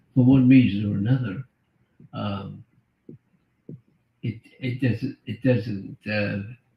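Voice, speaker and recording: Very slowly, a man speaks in a somewhat breathy voice with ordinary pitch variation. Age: 80s+. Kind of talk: interview answer.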